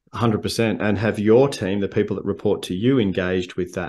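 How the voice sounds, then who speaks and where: Against a quiet background, a man with an Australian accent speaks fairly quickly at a fairly low pitch with fairly even intonation. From Victoria, Australia. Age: 50s. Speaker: leadership coach and speaker. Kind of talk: casual interview chat.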